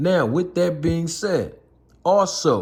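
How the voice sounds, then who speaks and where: This is a man speaking. His voice sounds somewhat breathy. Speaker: boxing commentator. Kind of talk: reaction video commentary.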